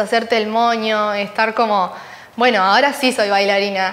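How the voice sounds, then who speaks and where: Her intonation is fairly even. The woman moves at a fairly slow pace. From Uruguay. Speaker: ballet dancer. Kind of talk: interview. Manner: halting. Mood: warm, smiling, animated. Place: studio. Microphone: lapel.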